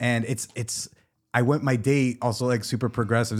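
Recorded very cleanly against a silent background, an unremarkable speaking voice with an American accent moves at a moderate pace. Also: man. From New Jersey. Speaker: comedian and podcast host. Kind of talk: casual chat.

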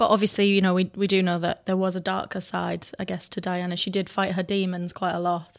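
A woman with a British accent speaks at a fairly quick pace, barely pausing at all. Her medium-pitched voice stays flat and monotone over a very clean recording with a silent background. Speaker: podcast presenter. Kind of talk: casual chat.

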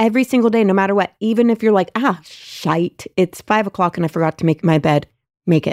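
With a plain, everyday voice, a woman speaks at medium pitch and a fairly quick pace with ordinary pitch variation, in a dry, close sound with no echo. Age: 40s. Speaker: podcast co-host. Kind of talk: casual chat.

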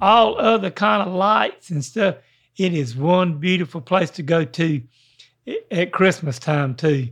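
A man with a Carolinas accent speaks fairly slowly at a high pitch with lively intonation over a quiet background. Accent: Southern US (Carolinas). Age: 70s. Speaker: podcast host. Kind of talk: casual chat.

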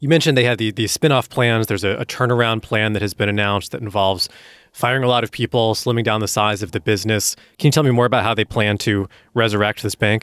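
Talking at a very fast pace, a man with a fairly low pitch keeps his intonation fairly even on a very clean recording with a silent background. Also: dry, close sound with no echo. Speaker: podcast co-host and editor. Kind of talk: podcast interview.

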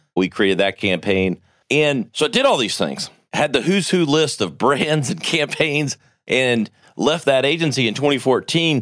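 Fairly slow, animated speech with vocal fry and very wide pitch swings. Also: man, fairly high pitch for a man. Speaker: podcast host and agency founder. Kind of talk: interview conversation.

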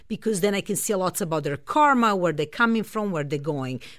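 A woman with a Serbian accent, medium-pitched, with very wide pitch swings. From Serbia, Belgrade. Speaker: astrologer and spiritual healer. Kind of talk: radio interview.

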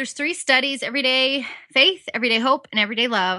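A woman speaks with an American accent in a bright, sharp tone. The sound is dry and close with no echo, over a quiet background. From Southern California. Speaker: Bible study teacher. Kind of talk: interview.

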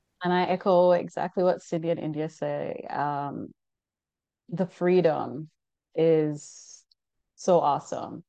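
A woman speaks at a very slow pace with long, frequent pauses. The background is quiet. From Jamaica. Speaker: forensic DNA scientist. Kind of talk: interview.

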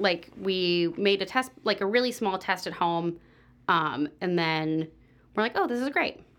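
In a very clean recording with a silent background, a woman has a normal speaking voice at medium pitch, with ordinary pitch variation. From US West Coast, San Diego. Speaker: pastry chef and bakery owner. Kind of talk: casual interview.

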